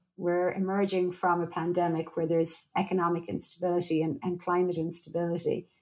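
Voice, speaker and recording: A woman speaks with an Irish accent at a moderate pace. Her voice is fairly low, with a dark, mellow tone. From Ireland. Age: 40s. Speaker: psychologist and researcher. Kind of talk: interview conversation.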